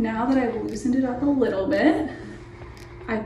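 A woman speaks with audible room echo and clear music in the background. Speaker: hair tutorial host. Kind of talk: tutorial. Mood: upbeat, friendly. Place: bathroom. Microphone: camera far.

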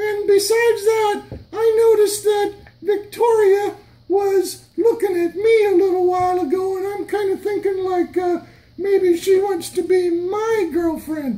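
An extremely high-pitched cartoonish character voice moves along at a moderate pace. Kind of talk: children's church skit. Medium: puppet show. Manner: incredulous, teasing.

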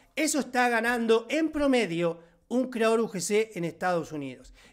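An animated, high-pitched man talking at a fairly slow pace against a quiet background. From Argentina. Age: 40s. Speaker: online course instructor. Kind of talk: live online class. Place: home room. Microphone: studio mic.

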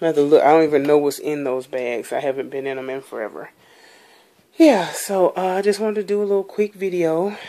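Dark, mellow tone from a woman, her pitch shifting in an ordinary way. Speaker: vlogger. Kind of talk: casual video tour. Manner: chatty, hesitant.

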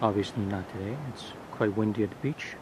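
A man talks at a fairly slow pace with ordinary pitch variation. The sound is dry with no echo, though noticeable background noise is present. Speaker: gear reviewer. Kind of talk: tutorial. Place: beach. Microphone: phone near.

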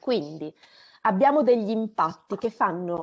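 Against a quiet background, a woman with a plain, everyday voice speaks fairly slowly at a fairly high pitch with lively intonation. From Romagna, Italy (Rimini); Romagna, Italy. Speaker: climate scientist; webinar presenter. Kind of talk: lecture. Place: home room. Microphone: video call.

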